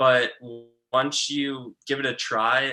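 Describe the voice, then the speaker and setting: A man with a bright, sharp tone and an American accent. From Long Island, New York. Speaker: real estate agency founder. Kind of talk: casual interview. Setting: live video stream.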